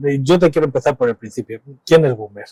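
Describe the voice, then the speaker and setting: Dry and close with no echo, the recording has a man talking at a fairly quick pace in a fairly high pitch with a dark, mellow tone and ordinary pitch variation. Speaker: radio host. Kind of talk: radio interview.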